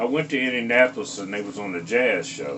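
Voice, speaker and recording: Audible room echo along with noticeable background noise. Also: man. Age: 70s. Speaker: guitarist. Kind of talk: interview. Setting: on location interview.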